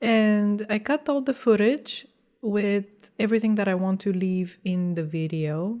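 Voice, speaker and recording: A woman with a non-native accent speaks at a fairly slow pace in a medium pitch, her dark, mellow tone rising and falling with ordinary pitch variation. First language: not English. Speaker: graphic designer vlogger. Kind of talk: vlog talking to camera. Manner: casual with hesitations.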